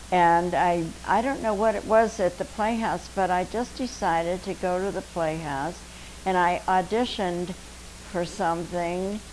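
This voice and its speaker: The speaker has an American accent. Background noise is noticeable. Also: woman. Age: 80s+. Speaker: retired dancer and actress. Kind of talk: interview.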